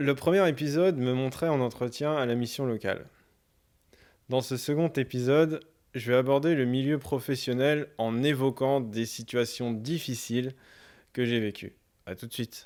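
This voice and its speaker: A man at a medium pitch speaks at a fairly slow pace with ordinary pitch variation and long, frequent pauses, in a very clean recording with a silent background. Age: 20s. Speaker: web series presenter with Asperger syndrome. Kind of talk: scripted introduction.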